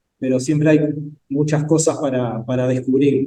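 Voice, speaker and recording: A man speaks. His tone is dark and mellow. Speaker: session moderator at academic conference. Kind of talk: academic discussion.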